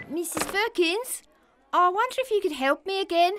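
This put-on character voice is squeaky and extremely high-pitched, delivered at a moderate pace. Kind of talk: scripted comedic dialogue. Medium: puppet show. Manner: flustered, polite. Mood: hesitant request.

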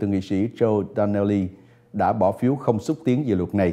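The man's dark, mellow tone comes through at a fairly quick pace. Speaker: news anchor. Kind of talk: news reading. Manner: formal.

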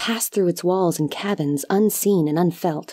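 An ordinary speaking voice keeps a moderate pace, its pitch varying in an ordinary way. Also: woman. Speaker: audiobook narrator. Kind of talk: dramatic narration of a fantasy short story, reading aloud. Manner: measured, hushed and lyrical, with a somber, wistful tone.

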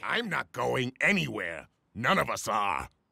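In a cartoonish character voice, a man growls at a medium pitch and a fairly slow pace. The sound is dry and close with no echo. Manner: loud, bossy, crude.

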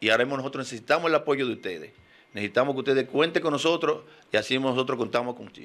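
A man's bright, sharp voice at medium pitch, very fast in pace, with ordinary pitch variation. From Dominican Republic. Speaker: politician and engineer; politician. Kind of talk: radio interview. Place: studio. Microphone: studio mic.

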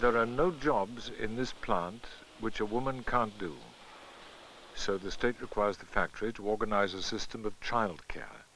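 Speaking in an unremarkable speaking voice, a man keeps a moderate speed, a medium pitch, and ordinary variation in pitch. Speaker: documentary narrator. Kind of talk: scripted narration. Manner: formal.

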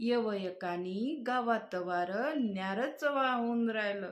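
A woman's ordinary speaking voice, fairly high in pitch with lively intonation. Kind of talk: poetry reading.

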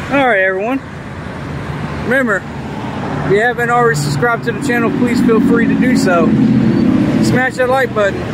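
The speech comes at a fairly quick pace, dry with no echo, over loud background noise. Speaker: home tour vlogger. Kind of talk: casual vlog chat. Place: street. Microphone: phone near.

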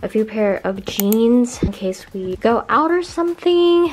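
Over light background noise, a woman talks at a fairly slow pace with very wide pitch swings. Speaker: college student vlogger. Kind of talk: casual vlog chat. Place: home room. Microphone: phone near.

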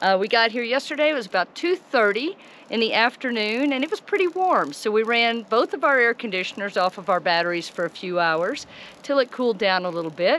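Her pitch swinging very widely, a woman talks at a fairly quick pace in a dry sound with no echo. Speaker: RV travel vlogger. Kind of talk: casual vlog chat. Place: forest. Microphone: phone near.

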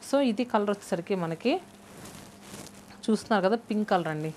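A woman talks very fast in a slightly mellow tone with ordinary pitch variation over faint background noise.

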